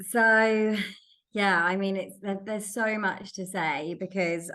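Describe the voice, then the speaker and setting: The speaker talks at a fairly slow pace in an English accent. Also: woman. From England. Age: 30s. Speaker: recruiter, sober podcast guest. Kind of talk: interview. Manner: hesitant, many fillers.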